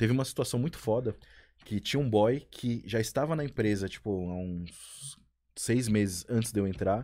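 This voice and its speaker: In a very clean recording with a silent background, a man with a dark, mellow tone speaks at a moderate pace with ordinary pitch variation. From São Paulo periphery, Brazil. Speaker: podcast co-host. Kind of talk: casual chat. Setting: live-streamed studio.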